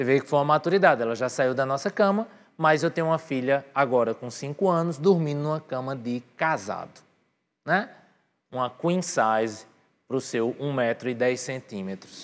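In a very clean recording with a silent background, a man with a fairly high voice talks at a moderate pace using lively intonation. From Brazil, Northeast (Patos, Paraíba). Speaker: pastor. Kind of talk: sermon. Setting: church with live audience, livestreamed. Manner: animated.

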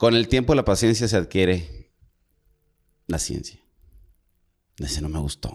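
A man speaks at a very deep, low pitch with vocal fry and very wide pitch swings. His pace is fairly slow, with long, frequent pauses. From Monterrey, northern Mexico. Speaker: podcast co-host. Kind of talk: casual chat.

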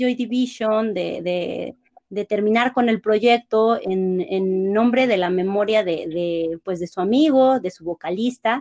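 This woman talks fairly slowly, her fairly high voice showing ordinary pitch variation. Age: 30s. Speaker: academic content editor, music fan. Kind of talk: casual chat.

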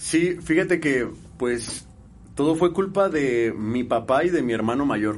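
A man with a fairly high pitch talks at a fairly slow pace. His intonation is lively. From Mexico, Guadalajara, Jalisco. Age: 30s. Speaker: musician. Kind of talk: casual chat.

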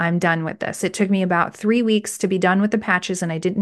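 A woman speaks at a medium pitch with fairly even intonation. She has an ordinary speaking voice, and the background is quiet. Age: 40s. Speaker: faith-based wellness podcast host. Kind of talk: solo podcast monologue, motivational teaching. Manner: conversational, with frequent filler words and repetitions.

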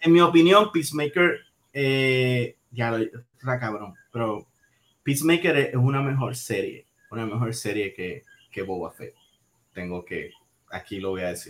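A man with a Puerto Rican accent speaks at a fairly slow pace with long, frequent pauses. His pitch swings very widely, and his loudness shifts a lot. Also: medium pitch for a man. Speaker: podcast co-host. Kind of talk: casual chat. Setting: live stream.

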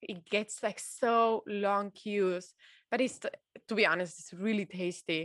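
Speaking in a Spanish accent, a woman uses a medium pitch and fairly even intonation at a fairly slow pace. Her loudness swings widely against a quiet background. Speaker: podcast co-host. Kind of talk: casual chat.

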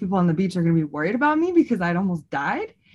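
A somewhat breathy woman's voice at medium pitch. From San Francisco Bay Area. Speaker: podcast co-host. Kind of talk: casual chat.

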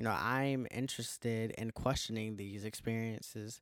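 A medium-pitched man with an American accent at a moderate pace, ordinary pitch variation, very clean recording with a silent background. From US South, Georgia. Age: 20s. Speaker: podcast host and performance artist. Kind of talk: solo podcast monologue.

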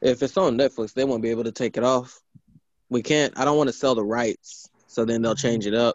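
In a plain, everyday voice, a man of medium pitch talks at a fairly quick pace with fairly even intonation and very even loudness. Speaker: podcast co-host. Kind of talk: casual chat.

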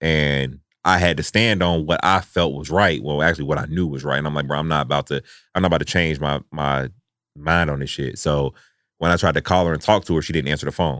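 Speaking at a very fast pace, a man uses a very deep, low voice with vocal fry and fairly even intonation. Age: 30s. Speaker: podcast host. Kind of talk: casual chat. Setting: studio.

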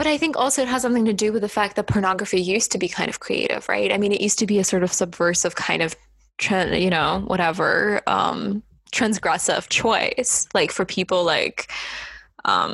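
A woman talks at a moderate pace with vocal fry and very even loudness. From Estonia. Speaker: podcast host. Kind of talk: casual chat.

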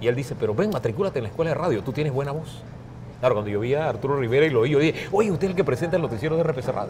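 A man with a fairly high pitch talks at a very fast pace with lively intonation, with audible room echo and noticeable background noise. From Panama, Chiriquí, raised in San Miguelito area. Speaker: journalist and media trainer. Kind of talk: casual interview chat. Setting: café.

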